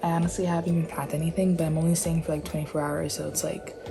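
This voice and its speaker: A woman whispers with an American accent. Music plays in the background, and room echo is audible. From New York. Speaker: vlogger. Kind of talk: casual vlog. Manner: whispering.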